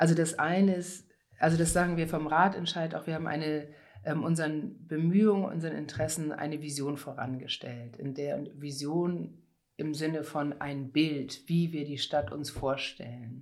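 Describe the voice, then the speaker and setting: A woman talks at a moderate pace in a very deep, low pitch. Her intonation is fairly even, and audible room echo surrounds her. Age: 50s. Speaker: conference interpreter and cycling activist. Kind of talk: interview.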